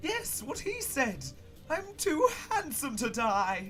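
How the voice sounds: Over faint music in the background, a man puts on a character voice at an extremely high pitch, moving slowly with very wide pitch swings and a bright, sharp tone.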